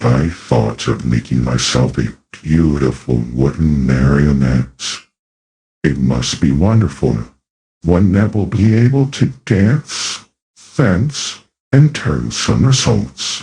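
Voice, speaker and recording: A man puts on a character voice with a very deep, low pitch and very wide pitch swings. He goes at a very slow pace with very even loudness. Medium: audio drama. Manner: touchy, quick to anger.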